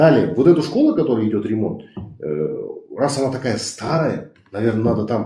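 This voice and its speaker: Audible room echo colors a man's voice. He speaks at a moderate pace. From Kazakhstan. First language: Kazakh (speaking Russian). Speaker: activist. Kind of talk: heated debate. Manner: animated.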